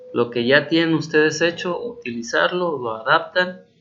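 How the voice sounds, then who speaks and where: With a Mexican accent, a man talks at a moderate pace with ordinary pitch variation. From Mexico. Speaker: university teacher. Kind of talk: recorded instructional explanation. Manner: casual, hesitant with fillers.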